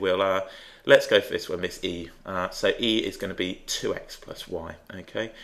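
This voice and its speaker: A man with an English accent keeps to a moderate pace. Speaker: maths teacher. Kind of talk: tutorial. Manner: thinking out loud, hesitant.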